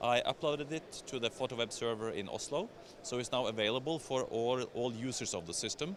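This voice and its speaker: A man talks at a fairly quick pace with a Scandinavian accent. His pitch is medium, with ordinary variation. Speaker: software vendor representative. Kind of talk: trade show product demo. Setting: exhibition stand at trade show.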